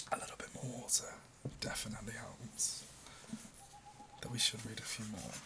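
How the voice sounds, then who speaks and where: Whispering at a moderate pace with long, frequent pauses, a man is heard over noticeable background noise. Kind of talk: casual ASMR talk to the listener. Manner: soft, gentle, relaxing.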